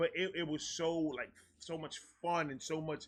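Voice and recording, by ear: At a moderate pace, a man speaks with fairly high pitch, a bright, sharp tone and fairly even intonation.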